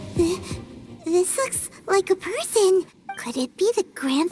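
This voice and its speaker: This female-sounding voice is a put-on character voice with an extremely high pitch. The pace is fairly slow. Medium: machinima. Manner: chirpy, excitable.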